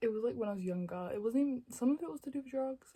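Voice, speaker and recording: A woman's somewhat breathy voice has a dark, mellow tone and lively intonation. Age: 20s. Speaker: YouTuber. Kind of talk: storytime monologue. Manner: fast; stutters.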